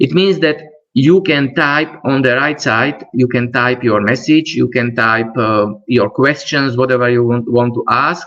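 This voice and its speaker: A man with a non-native accent, medium pitch and very even loudness. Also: ordinary pitch variation, fairly slow pace. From Slovakia. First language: Slovak. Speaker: trainer. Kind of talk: webinar presentation. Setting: online webinar. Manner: halting.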